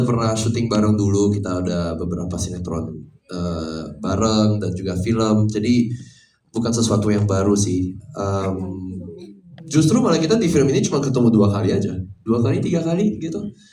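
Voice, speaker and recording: Audible room echo surrounds a man with a non-native accent who speaks at a medium pitch and a fairly quick pace. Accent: non-native accent in Indonesian. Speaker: film actor. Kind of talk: press conference.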